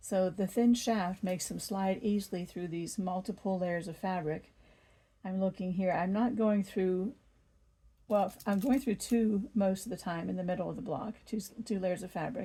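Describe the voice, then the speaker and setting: A woman speaks in a dark, mellow tone at a medium pitch. Her voice is somewhat breathy. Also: ordinary pitch variation, moderate pace. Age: 60s. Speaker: quilting YouTuber. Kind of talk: tutorial.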